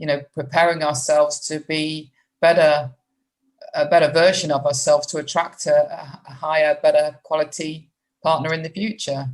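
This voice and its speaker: With a British accent, a woman speaks in a very deep, low voice. Her intonation stays monotone and flat at a moderate pace. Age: 60s. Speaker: podcast host. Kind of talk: interview.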